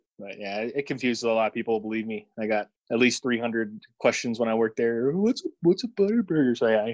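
A man with an American accent speaks at a very fast pace, his pitch medium and its variation ordinary. The sound is dry and close, with no echo. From Illinois, St. Louis area. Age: 30s. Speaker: air force service member. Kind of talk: casual chat.

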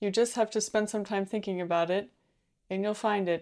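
Speaking in an ordinary speaking voice at a medium pitch, a woman keeps a moderate pace and ordinary pitch variation on a very clean recording with a silent background. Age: 20s. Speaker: co-host. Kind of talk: casual chat.

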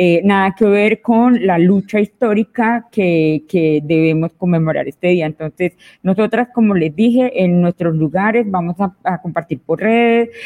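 The voice has a dark, mellow tone and very even loudness, moving at a fairly slow pace with hardly any pauses. The sound is dry and close, with no echo. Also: woman, medium pitch for a woman, ordinary pitch variation. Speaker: feminist activist. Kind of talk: panel discussion.

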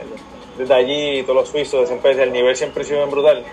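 Against noticeable background noise, a man's fairly high voice carries fairly even intonation. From Puerto Rico, Aguadilla. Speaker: mountain bike racer. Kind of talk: casual interview.

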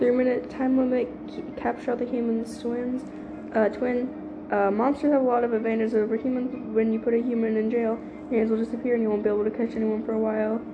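A woman talks at a very fast pace with a fairly high pitch. Her intonation is fairly even, and there is noticeable background noise. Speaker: podcast host and gamer. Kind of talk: casual solo podcast with gameplay commentary. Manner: casual, apologetic, filler words.

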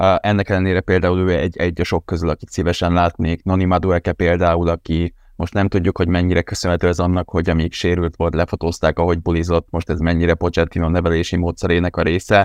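A man's very deep, low, monotone voice at a very fast pace with hardly any pauses, in a dry, close sound with no echo and a quiet background. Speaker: podcast co-host. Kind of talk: casual football podcast chat.

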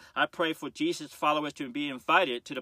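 A man talks in a fairly high voice with a warm tone. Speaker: pastor. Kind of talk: fervent intercessory prayer, addressing God aloud. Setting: home prayer closet, live-streamed on Facebook. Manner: earnest, impassioned and pleading; informal, warm and conversational.

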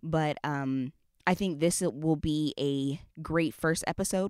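Very deep, low pitch from a woman, fairly even intonation and a fairly slow pace, captured in a very clean, dry, close recording with a silent background and no echo. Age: 20s. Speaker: podcast host. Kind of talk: casual chat.

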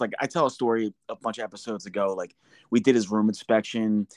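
A plain, everyday voice from a man with an American accent, medium in pitch and fairly quick, dry and close with no echo over a quiet background. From New Jersey. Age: 40s. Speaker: podcast host, veteran. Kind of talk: casual chat.

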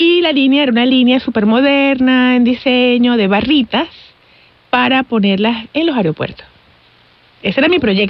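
A woman talks at a moderate pace in a high-pitched voice. Her pitch varies in an ordinary way, and her loudness stays very even. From Venezuela. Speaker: chocolate maker and business owner. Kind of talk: interview.

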